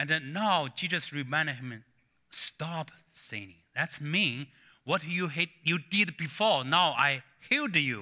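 A man speaks at a very slow pace with a Chinese accent. His tone is bright and sharp, on a very clean recording with a silent background. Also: fairly high pitch for a man, ordinary pitch variation. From China. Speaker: pastor. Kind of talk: sermon. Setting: church. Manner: halting.

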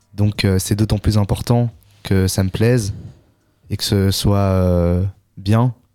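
The speech moves at a very slow pace with long, frequent pauses and very even loudness. Intonation is monotone and flat, and music plays in the background. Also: man, fairly low pitch for a man. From Belgium, Brussels. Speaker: young local musician and beatmaker. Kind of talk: casual radio interview. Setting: radio studio.

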